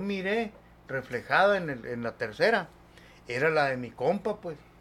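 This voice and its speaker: Moving at a fairly slow pace, a man with a fairly high pitch makes very wide pitch swings. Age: 50s. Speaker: paranormal experience witness. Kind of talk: casual storytelling.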